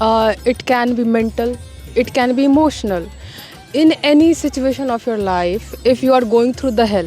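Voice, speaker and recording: A woman with an Indian accent, high-pitched, with ordinary pitch variation and music in the background. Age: young. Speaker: university student. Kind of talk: interview answer. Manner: calm.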